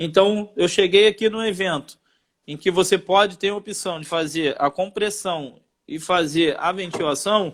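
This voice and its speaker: The man's delivery is fairly slow. His voice sits at a high pitch. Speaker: firefighter teaching first aid. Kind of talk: live stream lesson.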